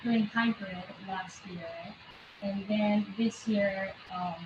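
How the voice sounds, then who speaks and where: A woman with a non-native accent speaks very slowly at a medium pitch, her voice somewhat breathy. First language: not English. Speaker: parent. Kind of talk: casual chat.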